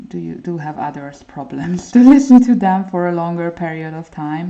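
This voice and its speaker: A woman speaks with a non-native accent at a very deep, low pitch. Her tone is dark and mellow. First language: not English. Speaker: art livestreamer. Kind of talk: casual livestream chat while coloring. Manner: hesitant, many fillers.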